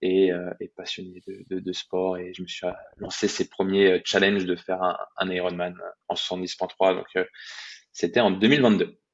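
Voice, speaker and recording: A man's very deep, low voice at a moderate pace, in a monotone, flat intonation. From France, Brittany. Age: 20s. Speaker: athlete and fitness coach. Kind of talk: podcast interview, casual storytelling. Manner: hesitant, many fillers and repetitions.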